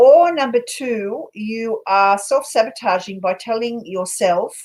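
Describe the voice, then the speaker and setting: With an Australian accent, a woman speaks at a fairly high pitch with lively intonation. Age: 60s. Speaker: paranormal investigator and tarot reader. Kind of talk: casual chat with tarot readings.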